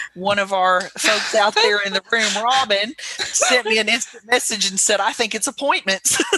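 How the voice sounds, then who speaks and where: A woman's fairly high voice with ordinary pitch variation, a moderate pace, hardly any pauses, and noticeable background noise. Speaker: webinar moderator. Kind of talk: panel discussion webinar. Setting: office with door open. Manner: loud.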